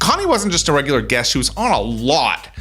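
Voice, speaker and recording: With music playing in the background, a man speaks at a very fast pace. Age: 40s. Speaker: podcast host. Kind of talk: interview; scripted narration. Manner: halting.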